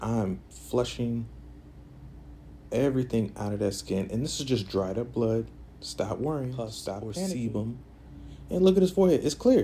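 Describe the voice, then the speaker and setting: A man with a dark, mellow tone and a medium pitch speaks somewhat breathily at a moderate pace, with lively intonation and long, frequent pauses. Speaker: esthetician / massage therapist. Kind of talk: casual talk to camera during a facial treatment.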